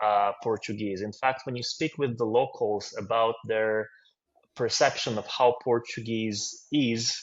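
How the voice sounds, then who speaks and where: The speaker has a Russian accent and fairly even intonation. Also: man. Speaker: finance consultant. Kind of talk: interview.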